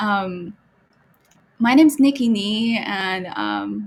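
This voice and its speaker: Her voice somewhat breathy, a woman speaks at a very slow pace. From China, Beijing. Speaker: gallery co-founder and art historian. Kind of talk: podcast self-introduction.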